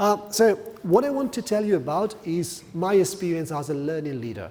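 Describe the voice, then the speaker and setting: With an Italian accent, a man talks at a moderate pace in a high pitch with lively intonation. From Italy. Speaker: corporate learning manager. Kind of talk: conference talk. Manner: hesitant, with fillers.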